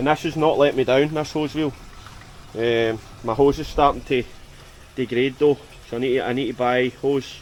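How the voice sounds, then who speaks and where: With a strong Scottish accent, a man at medium pitch talks at a moderate pace with fairly even intonation over noticeable background noise. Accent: Scottish, strong enough that viewers struggle. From Scotland. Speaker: exterior cleaning business owner and vlogger. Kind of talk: casual work vlog talk to camera. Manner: hesitant, many fillers and repeats.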